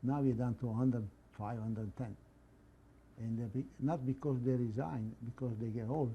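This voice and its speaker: A man with a medium-pitched, somewhat breathy voice speaks in a dark, mellow tone. Long, frequent pauses break up his speech. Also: moderate pace. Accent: Italian. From northern Italy. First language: Italian. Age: 80s+. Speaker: immigrant and former club president. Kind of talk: interview. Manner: halting.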